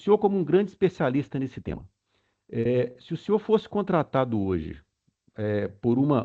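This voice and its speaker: With a slight Minas Gerais accent, a man of medium pitch speaks at a moderate pace, using very wide pitch swings. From Brazil, Minas Gerais (Belo Horizonte). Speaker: webinar participant asking questions. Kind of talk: Q&A question at webinar. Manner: halting, many fillers.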